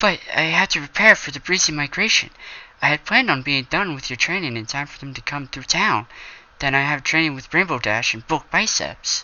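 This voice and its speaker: A man's put-on character voice, timid in tone, at a fairly quick pace. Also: fairly high pitch for a man. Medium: read story. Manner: soft-spoken, timid.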